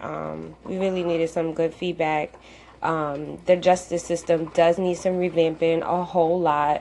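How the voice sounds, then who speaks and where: Over a quiet background, a woman speaks at a fairly low pitch and fairly slow pace in a flat monotone. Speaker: radio show host. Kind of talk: casual chat.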